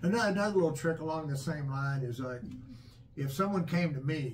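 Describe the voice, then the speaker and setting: A man's pitch varies in an ordinary way, with audible room echo around him. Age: 60s. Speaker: father, channel host. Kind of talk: casual chat. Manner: halting, repetitive fillers.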